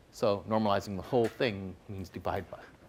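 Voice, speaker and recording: Here a man with an ordinary speaking voice talks at a fairly quick pace. His pitch is fairly low. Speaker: lecturer. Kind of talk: lecture.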